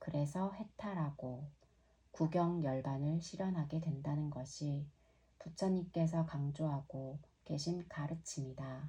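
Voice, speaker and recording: Her voice is very deep and low, with a dark, mellow tone and a somewhat breathy quality. The woman speaks very slowly with fairly even intonation. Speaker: yoga teacher. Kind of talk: reading aloud. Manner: clear.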